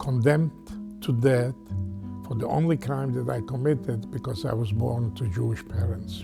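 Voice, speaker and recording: A man speaks at a moderate pace with a medium pitch and lively intonation. Music plays in the background. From Poland. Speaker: Holocaust survivor. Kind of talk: interview answer.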